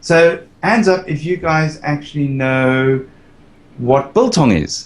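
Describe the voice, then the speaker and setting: The man's voice is fairly high in pitch. He talks at a very slow pace. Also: ordinary pitch variation. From South Africa. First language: not English. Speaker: Minecraft builder. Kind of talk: casual chat. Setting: live stream.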